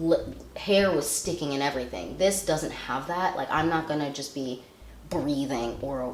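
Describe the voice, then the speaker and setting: The room gives off audible echo. Within it, a woman talks in a very deep, low register. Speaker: beauty vlogger. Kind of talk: product review. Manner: casual, rambling.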